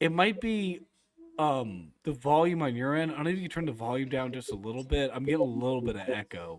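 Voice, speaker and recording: Loud and very fast, a man at a medium pitch talks with very wide pitch swings. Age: 30s. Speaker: sports podcaster. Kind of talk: casual chat. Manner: animated. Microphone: echo from host's speaker.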